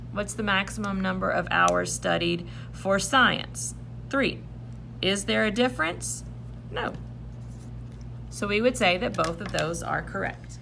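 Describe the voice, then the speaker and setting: A woman speaks at a fairly slow pace, with long, frequent pauses. Audible room echo fills the recording. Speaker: math teacher. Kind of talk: tutorial. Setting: recorded video lesson.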